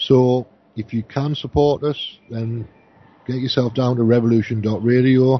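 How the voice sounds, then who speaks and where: Speaking at a fairly slow pace, a man with a medium pitch keeps his intonation monotone and flat. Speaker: radio host. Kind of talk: live radio show chat.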